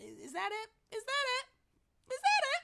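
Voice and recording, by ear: Fairly slow and squeaky, this put-on character voice sits at an extremely high pitch. It is clearly an act.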